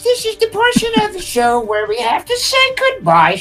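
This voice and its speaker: An extremely high pitch marks this put-on character voice, which makes very wide pitch swings. Light background noise is present. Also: moderate pace. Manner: exaggerated put-on voice.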